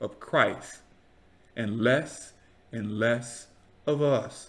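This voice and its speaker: The speaker talks at a very slow pace with fairly even intonation. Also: man. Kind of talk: casual talk to camera, YouTube commentary. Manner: preacherly, earnest. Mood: earnest, preachy.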